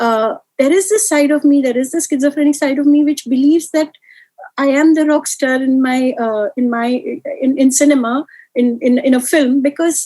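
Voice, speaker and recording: A soft-spoken woman talks with a high pitch and a dark, mellow tone. She keeps a fairly quick pace. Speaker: film writer. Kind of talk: interview conversation. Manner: halting.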